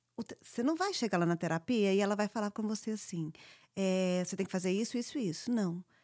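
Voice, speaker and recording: With an unremarkable speaking voice, a woman talks at a fairly quick pace and a medium pitch, her pitch varying in an ordinary way, in dry, close sound with no echo. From born in US, raised largely in Brazil. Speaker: podcast co-host. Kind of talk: casual chat.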